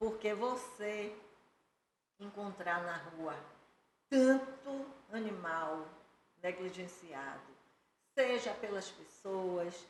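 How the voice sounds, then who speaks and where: A woman at medium pitch talks very slowly with lively intonation, leaving long, frequent pauses. The room echo is audible. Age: 60s. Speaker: lawyer and animal rights advocate. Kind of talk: podcast interview.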